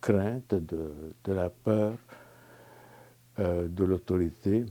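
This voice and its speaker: At a very slow pace, a man with a Lebanese accent speaks in a very deep, low, dark and mellow voice with fairly even intonation, in a very clean recording with a silent background. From Lebanon. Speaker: spiritual retreat participant. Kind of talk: testimony. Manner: halting, many hesitations.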